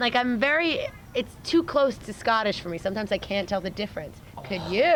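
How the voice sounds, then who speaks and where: Speaking at a fairly quick pace with an American accent, a woman uses a fairly high voice and lively intonation over noticeable background noise. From New York. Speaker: interviewer. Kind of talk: casual interview.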